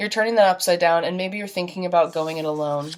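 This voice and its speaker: A woman with an animated tone, fairly low in pitch, with ordinary pitch variation. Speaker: tarot reader. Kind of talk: tarot reading monologue. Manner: casual, animated; fast.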